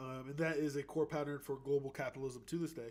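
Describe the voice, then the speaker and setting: This man's fairly high-pitched voice holds a monotone, flat intonation. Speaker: livestream host. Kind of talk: educational livestream talk. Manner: fast; halting, many fillers.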